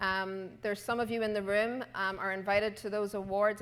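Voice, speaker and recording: Medium-pitched woman's voice in an Irish accent, moderate in pace, with monotone, flat intonation. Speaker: conference co-chair. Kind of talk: closing remarks.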